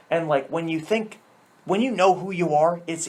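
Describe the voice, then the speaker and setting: A man talks loudly in a high voice with ordinary pitch variation. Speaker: podcast guest. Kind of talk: casual chat. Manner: animated.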